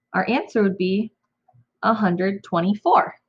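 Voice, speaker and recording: A somewhat breathy woman talks at a medium pitch and a fairly slow pace. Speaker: elementary school teacher. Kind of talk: math tutorial for kids. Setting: home recording, own room.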